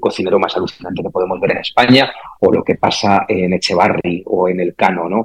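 Speaking fairly quickly, a man uses a very deep, low pitch. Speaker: brand strategy executive, former journalist. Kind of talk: casual interview chat.

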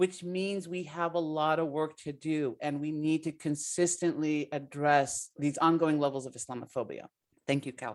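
Fairly even intonation on a very clean recording with a silent background. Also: woman, very deep, low pitch for a woman, moderate pace. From US, partly raised in Palestine. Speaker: political science professor. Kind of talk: radio interview.

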